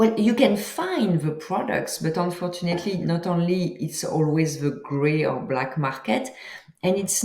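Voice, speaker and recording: A woman with a French accent speaks at a fairly low pitch and a fairly slow pace. Her intonation is lively, and the room echo is audible. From France. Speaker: author and psychedelics entrepreneur. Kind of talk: interview.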